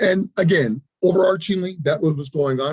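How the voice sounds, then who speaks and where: The dry, close sound carries no echo as a man speaks, somewhat breathy, with ordinary pitch variation. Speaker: health department official. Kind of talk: presentation at a public listening session. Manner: fast.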